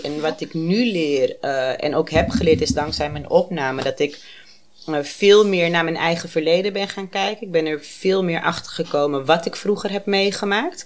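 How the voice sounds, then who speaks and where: A woman takes a fairly slow pace while noticeable background noise plays behind her. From Amsterdam. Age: 30s. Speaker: guest with lived experience of borderline. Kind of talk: personal testimony in casual interview.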